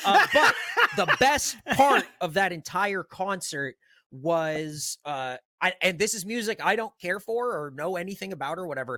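Animated and raised, a man's projected voice sits high in pitch with a bright, sharp tone and very wide pitch swings. He speaks at a fairly slow pace in a dry, close sound with no echo. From San Diego, California. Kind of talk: casual chat.

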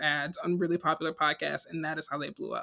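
In a very clean recording with a silent background, a woman speaks with a bright, sharp tone, a fairly low pitch and monotone, flat intonation. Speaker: podcast co-host. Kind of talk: casual chat.

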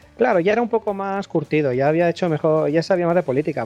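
A man's very fast speech, dark and mellow in tone, with ordinary pitch variation and a dry, close sound with no echo. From Spain. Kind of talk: casual chat.

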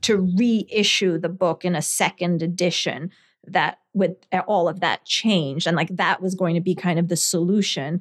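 With a New Jersey accent, a woman speaks at a fairly low pitch and moderate pace, her intonation fairly even and her loudness very even, on a very clean recording with a silent background. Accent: American, New Jersey. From New Jersey, earlier Scotland and India. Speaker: lawyer and former novelist. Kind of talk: interview. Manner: halting, many fillers.

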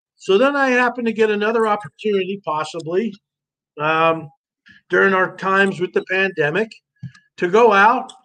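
In an American accent, a man uses a raised, projected voice with a bright, sharp tone and high pitch, ordinary pitch variation and long, frequent pauses. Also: moderate pace. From North Jersey, US. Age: 50s. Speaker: army veteran and survival show star. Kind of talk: casual interview, storytelling.

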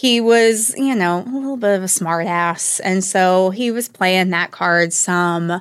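Speaking at a very slow pace, a woman has an American accent and ordinary pitch variation. The recording is very clean, with a silent background. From US South, northwest Georgia. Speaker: podcast host, academic researcher. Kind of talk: personal storytelling.

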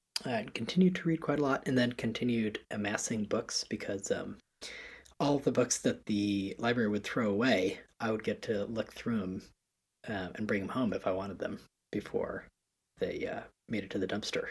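Medium-pitched and somewhat breathy, a man's voice with an American accent at a moderate pace, ordinary pitch variation, very clean recording and silent background. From US Northeast, Connecticut. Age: 20s. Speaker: education founder, podcast guest. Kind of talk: casual interview. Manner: halting, many fillers.

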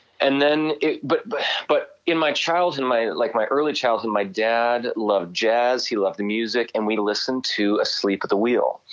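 This is a plain, everyday voice with an American accent, ordinary pitch variation and a moderate pace. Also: man, medium pitch for a man. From Southern California (North County San Diego). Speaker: country singer. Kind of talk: casual interview. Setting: phone call.

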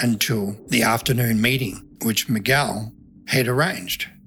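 Speaking in a New Zealand accent, a man talks at a fairly slow pace and medium pitch. His tone is bright and sharp, his intonation fairly even. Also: very even loudness. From New Zealand, country town. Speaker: former undercover financier for drug agency. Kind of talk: interview testimony.

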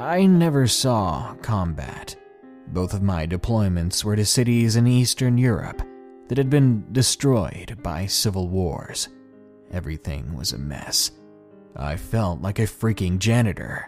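Over clear background music, a man does a put-on character voice that is rumbling and wheezy, fairly low in pitch, at a fairly slow pace. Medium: read story. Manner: curt, grumbling.

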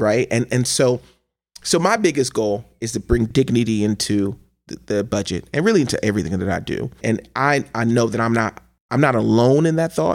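A man with a Midwestern American accent and lively intonation. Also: medium pitch for a man, moderate pace. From US Midwest, Cleveland, Ohio. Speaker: state legislator. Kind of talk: interview conversation. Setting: studio.

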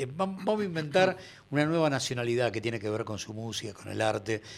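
Lively intonation marks a man talking fairly quickly in an ordinary speaking voice. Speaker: radio host. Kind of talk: radio interview.

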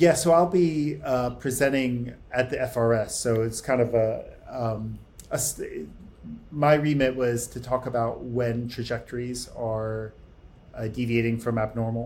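An unremarkable speaking voice from a man with an American accent, medium pitch, ordinary pitch variation and a fairly slow pace. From United States. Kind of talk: interview.

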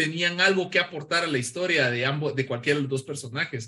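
Bright and sharp in tone, a man with a Guatemalan accent speaks with lively intonation. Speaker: pop culture and comics commentator. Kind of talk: casual chat.

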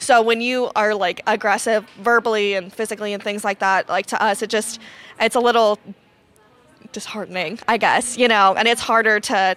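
In an American accent, a woman with a fairly high pitch talks at a moderate pace in a monotone, flat intonation. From Ohio, US Midwest. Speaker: conference attendee. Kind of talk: interview. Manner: hesitant, many fillers.

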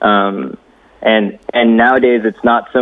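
The intonation holds fairly even throughout. It is an unremarkable speaking voice. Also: man. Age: 30s. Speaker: filmmaker / camera operator. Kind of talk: casual chat.

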